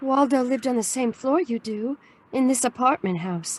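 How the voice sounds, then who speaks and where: A woman puts on a shaky character voice at a high pitch, speaking at a moderate pace. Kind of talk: audio drama dialogue. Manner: trembling.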